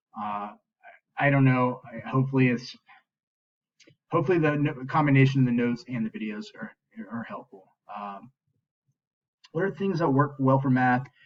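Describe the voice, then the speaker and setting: A man with a medium pitch and lively intonation speaks with big swings in loudness and long, frequent pauses. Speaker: math teacher. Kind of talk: recorded class feedback talk. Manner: fast; hesitant, many fillers. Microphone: computer built-in mic, poor sound quality.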